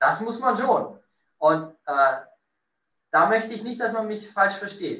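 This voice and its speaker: Amid audible room echo, a man with a high pitch uses a raised, projected voice with a bright, sharp tone, very wide pitch swings, big swings in loudness, a very slow pace and long, frequent pauses. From Lower Bavaria, Bavarian Forest. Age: 30s. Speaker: hotel director. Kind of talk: interview.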